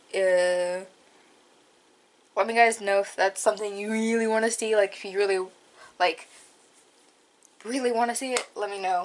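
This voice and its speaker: A woman speaks at a moderate pace and medium pitch. Her intonation stays fairly even. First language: not English. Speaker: craft YouTuber. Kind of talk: casual tutorial vlog. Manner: hesitant, many fillers.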